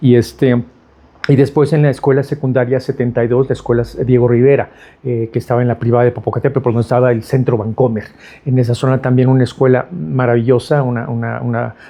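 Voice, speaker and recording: The speaker talks at a very fast pace in a Mexico City accent. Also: man, medium pitch for a man. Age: 60s. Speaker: architect. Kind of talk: interview. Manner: halting, many fillers and repetitions.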